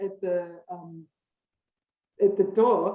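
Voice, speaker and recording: A woman speaks very slowly in a German accent. Her pitch swings very widely. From western Austria. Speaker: marketing professor. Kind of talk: interview answer.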